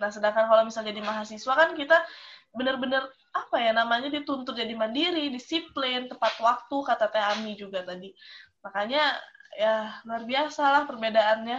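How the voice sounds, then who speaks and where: This is an unremarkable speaking voice of a woman with a fairly high pitch. She talks at a fairly quick pace with ordinary pitch variation. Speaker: university student, alumna. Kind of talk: casual chat.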